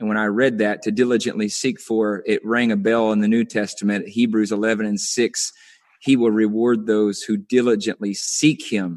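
Flat and monotone, a man talks at a moderate pace. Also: medium pitch for a man. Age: 30s. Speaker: young minister. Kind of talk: preaching conversation. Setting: video call.

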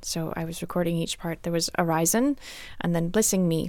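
A woman with an American accent and an unremarkable speaking voice, pitched fairly low, speaks at a moderate pace with ordinary pitch variation. The recording is very clean, with a silent background. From US South, Atlanta, Georgia. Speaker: classical harpist. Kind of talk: interview. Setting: studio.

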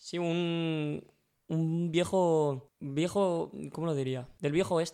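Very slowly and with fairly even intonation, a man speaks at a high pitch in a dark, mellow tone. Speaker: sports podcast co-host. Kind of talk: casual football chat.

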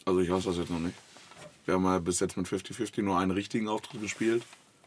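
A very fast male voice, very deep and low in pitch, with fairly even intonation. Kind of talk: casual chat.

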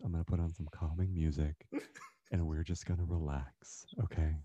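A somewhat breathy man talks at a fairly quick pace with a very deep, low pitch. His tone is dark and mellow, and his intonation is monotone and flat. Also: quiet background. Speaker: musician and gamer. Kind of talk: casual interview chat.

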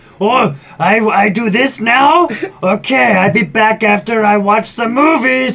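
Putting on a character voice, a man talks at a fairly slow pace with a high pitch. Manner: goofy, silly.

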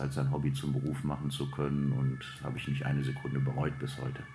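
Fairly quick speech from a man with ordinary pitch variation, with audible room echo and noticeable background noise. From Lower Rhine, Germany (Hüls, Krefeld). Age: 50s. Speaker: ice hockey coach and sports director. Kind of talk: interview. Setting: club office at an ice rink.

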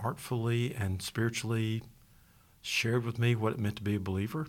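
A man speaks at a fairly quick pace in a plain, everyday voice with a fairly low pitch. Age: 60s. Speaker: pastor. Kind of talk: casual chat.

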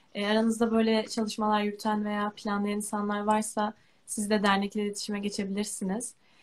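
At a fairly quick pace, the voice keeps a monotone, flat intonation. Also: woman, medium pitch for a woman. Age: 20s. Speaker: university student with albinism. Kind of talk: live stream interview.

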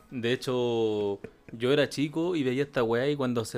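Music plays in the background as a man speaks. His voice is medium in pitch, with fairly even intonation. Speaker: podcast host. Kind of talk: casual chat.

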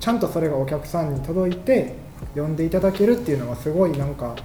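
Over music in the background and audible room echo, a man talks at a fairly quick pace with lively intonation. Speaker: catalog editor. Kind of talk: casual chat. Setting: company office studio. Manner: making an effort to project.

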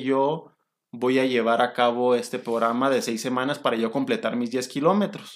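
A man with a Mexican accent speaks fairly slowly at a fairly high pitch, with ordinary pitch variation. The recording is very clean, with a silent background. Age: 30s. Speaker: orthopedic doctor and podcast host. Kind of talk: casual podcast chat.

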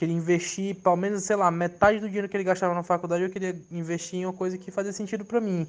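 Speaking very fast with hardly any pauses, a man keeps a monotone, flat intonation at a high pitch for a man. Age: 20s. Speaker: tattoo artist. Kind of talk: testimony.

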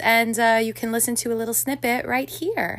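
At a moderate pace, a woman speaks in a fairly high pitch with a bright, sharp tone. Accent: American. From New York City. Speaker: podcast co-host. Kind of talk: casual chat.

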